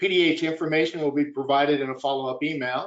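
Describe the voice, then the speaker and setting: At a fairly quick pace, a man speaks in a plain, everyday voice pitched fairly high. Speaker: webinar moderator. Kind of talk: webinar closing announcements. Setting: online webinar.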